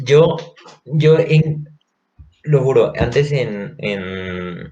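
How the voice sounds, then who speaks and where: This man's voice is somewhat breathy, and his intonation is lively. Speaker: university student podcast co-host. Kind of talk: casual chat.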